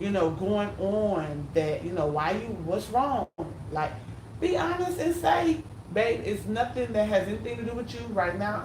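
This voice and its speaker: A loud, animated woman's voice at medium pitch, with very wide pitch swings, a moderate pace, noticeable background noise and audible room echo. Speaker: YouTuber co-hosting with husband. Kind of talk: casual couple discussion.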